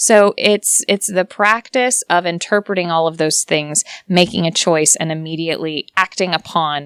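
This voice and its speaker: A normal speaking voice: a woman with an American accent, fairly low in pitch with ordinary variation, at a moderate pace, on a very clean recording with a silent background and a dry, close sound with no echo. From United States. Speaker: voice actor. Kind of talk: interview answer.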